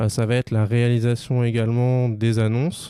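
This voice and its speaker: A man speaks at a fairly slow pace with a medium pitch, a dark, mellow tone and fairly even intonation, recorded very cleanly with a dry, close sound, no echo and a silent background. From Paris region, France. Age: 20s. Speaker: digital advertising consultant. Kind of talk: interview.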